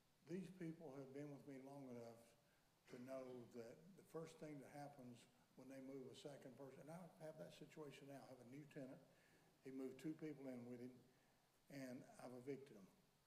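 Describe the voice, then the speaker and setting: A man's dark, mellow voice with fairly even intonation and long, frequent pauses, in audible room echo. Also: medium pitch for a man, fairly quick pace. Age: 60s. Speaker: landlord and property developer. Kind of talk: public hearing testimony. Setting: county commission meeting in a courtroom. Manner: halting, with repetitions.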